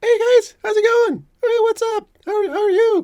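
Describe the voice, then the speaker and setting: An extremely high-pitched put-on character voice at a moderate pace. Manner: chirpy, friendly.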